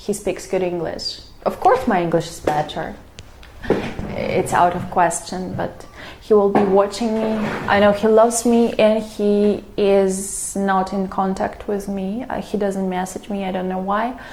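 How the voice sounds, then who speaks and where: A woman talks at a fairly slow pace with fairly even intonation. Audible room echo and noticeable background noise surround her voice. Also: medium pitch for a woman. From Russia, Moscow (Zelenograd). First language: Russian. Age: 30s. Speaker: vlogger. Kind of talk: casual vlog monologue. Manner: hesitant, with fillers and restarts.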